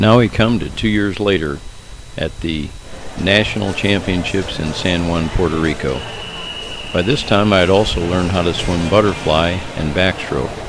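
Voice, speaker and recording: There is audible room echo around a man whose pitch is very deep and low. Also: ordinary pitch variation, moderate pace. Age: 80s+. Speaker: masters swimmer. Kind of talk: narrated video commentary.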